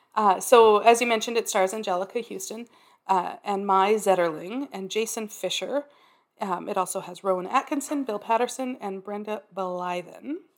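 A woman of medium pitch speaks at a moderate pace with ordinary pitch variation and big swings in loudness, in an unremarkable speaking voice. The recording is very clean, with a silent background. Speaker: podcast co-host. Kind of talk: casual chat.

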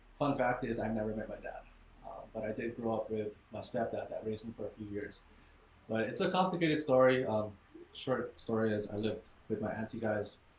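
A man at medium pitch with ordinary pitch variation and a fairly quick pace, plus noticeable background noise. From Hawaii, Maui. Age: 20s. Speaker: young fitness entrepreneur. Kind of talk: casual interview chat. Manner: halting, many fillers.

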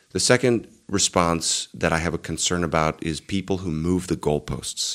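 A man speaks with a very deep, low pitch. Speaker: pastor and apologetics video creator. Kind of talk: video commentary monologue.

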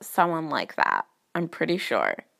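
This woman speaks at a fairly slow pace. The recording is very clean, with a silent background. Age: young. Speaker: first-time podcaster. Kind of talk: personal monologue. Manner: hesitant, many fillers.

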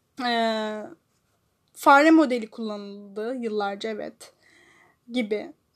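At a very slow pace with long, frequent pauses, a woman speaks at a fairly high pitch with ordinary pitch variation. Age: 20s. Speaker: solo podcast host. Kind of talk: personal monologue. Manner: halting, many fillers; loud opening.

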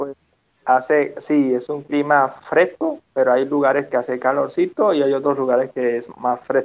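Fairly slow and monotone, a man talks with a flat intonation and a fairly high pitch. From Venezuela, Petare (Caracas). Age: 20s. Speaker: physical education teacher and motivational speaker. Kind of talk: interview.

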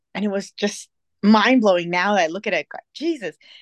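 An ordinary speaking voice with ordinary pitch variation proceeds at a moderate pace. The sound is dry and close with no echo, over a quiet background. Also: woman. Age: 40. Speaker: podcast co-host. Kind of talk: casual chat.

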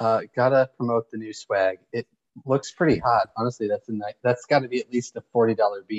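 Recorded with a dry, close sound and no echo, a man with an unremarkable speaking voice talks at a fairly quick pace, medium pitch and fairly even intonation. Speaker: podcast co-host. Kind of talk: casual chat. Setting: remote recording with poor audio.

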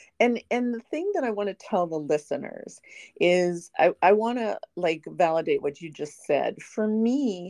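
In a quiet background, a woman with a dark, mellow tone speaks with lively intonation in a dry, close sound with no echo. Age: 50s. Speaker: podcast host. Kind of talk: casual chat.

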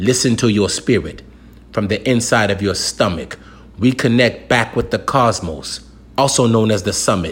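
In an American accent, a man speaks with an intense tone, a somewhat breathy voice, very even loudness and ordinary pitch variation. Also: fairly low pitch for a man, moderate pace. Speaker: spoken-word poet. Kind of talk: performed spoken-word poem, rhymed and rhythmic. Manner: intense, declarative, emphatic delivery with punchy rhyming cadence; preacher-like, urgent and confrontational, then calmer and reassuring.

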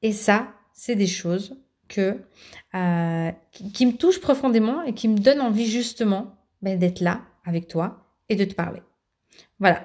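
Over a very clean recording with a silent background, a woman talks at a fairly slow pace and medium pitch, with ordinary pitch variation and long, frequent pauses. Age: 30s. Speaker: podcast host, mother coaching other mothers. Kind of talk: solo podcast monologue. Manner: halting, many fillers and repetitions.

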